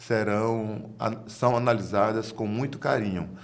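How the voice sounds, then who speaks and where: A man with a fairly low voice speaks at a fairly slow pace, with audible echo in the room. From Bahia, Brazil. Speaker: tax auditor. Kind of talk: interview answer. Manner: halting, formal.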